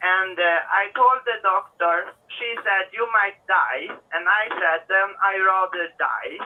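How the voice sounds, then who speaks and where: A woman speaks in a Swedish accent at a very slow pace. Her medium pitch stays fairly even in intonation. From Sweden. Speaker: caller. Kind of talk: casual chat. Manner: halting.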